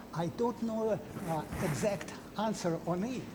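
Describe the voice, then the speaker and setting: A man with a non-native accent, high-pitched, at a fairly slow pace and with ordinary pitch variation, amid noticeable background noise and audible room echo. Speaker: scientist. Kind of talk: Q&A after a lecture. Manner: halting.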